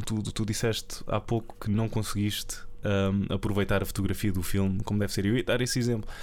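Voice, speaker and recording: A man speaks fairly quickly at a fairly low pitch. His intonation is monotone and flat, and his loudness stays very even. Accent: European Portuguese. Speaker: film podcast co-host. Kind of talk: casual chat.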